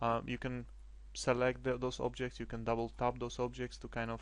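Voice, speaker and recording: A man is speaking. He has a non-native accent. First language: not English. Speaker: game development tutorial creator. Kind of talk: screencast tutorial. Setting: screen recording at computer. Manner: hesitant, many fillers.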